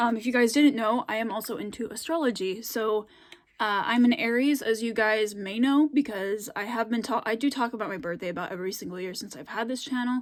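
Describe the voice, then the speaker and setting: Spoken at a fairly quick pace with an American accent, this voice shows ordinary pitch variation. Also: woman, fairly high pitch for a woman. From US, Scandinavian-settled area of a state. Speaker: YouTuber. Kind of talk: casual vlog chat. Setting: filmed at home late at night. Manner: hesitant, many fillers.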